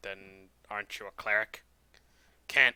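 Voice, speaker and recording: Putting on a character voice, a man speaks at a fairly slow pace and a fairly low pitch. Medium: actual play. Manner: curt, grumpy.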